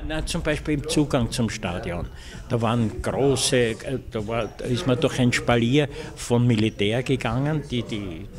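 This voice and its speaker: A man's medium-pitched voice at a fairly slow pace, ordinary pitch variation, with noticeable background noise. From Austria. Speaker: veteran sports reporter and commentator. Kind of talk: interview answer. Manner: hesitant, thoughtful, many fillers. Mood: reflective storytelling. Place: cafe. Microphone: handheld.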